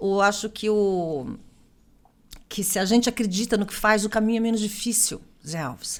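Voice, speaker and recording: This woman speaks in an animated tone at a medium pitch and a moderate pace, on a very clean recording with a silent background. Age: 60s. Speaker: political candidate. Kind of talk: interview.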